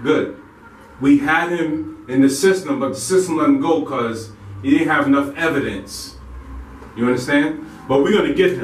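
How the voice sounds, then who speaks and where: A man at a moderate pace with long, frequent pauses, audible room echo and light background noise. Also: ordinary pitch variation. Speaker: actor playing police supervisor. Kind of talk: scripted drama dialogue, briefing. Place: home room. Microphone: camera far.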